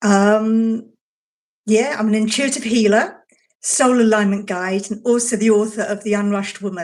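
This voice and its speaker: Her voice is a plain, everyday voice, fairly high in pitch, with fairly even intonation and a moderate pace. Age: 60s. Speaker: intuitive healer and author. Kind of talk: casual chat.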